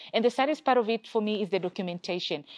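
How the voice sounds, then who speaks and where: A woman speaks with an East African accent at a medium pitch. Her intonation is lively, and the sound is dry and close with no echo. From Kenya. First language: Swahili. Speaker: gender and peacebuilding expert, former journalist. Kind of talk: interview.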